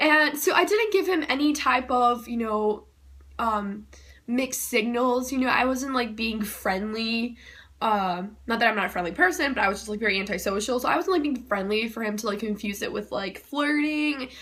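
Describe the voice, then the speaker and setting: A loud woman's voice, high-pitched and bright and sharp in tone, at a moderate pace with lively intonation. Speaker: YouTuber. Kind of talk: personal storytelling. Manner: casual with many fillers.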